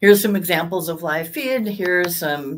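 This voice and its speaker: A woman's fairly low voice with ordinary pitch variation at a moderate pace, over light background noise. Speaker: sales executive presenting lab design. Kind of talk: webinar presentation. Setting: online webinar. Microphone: webcam.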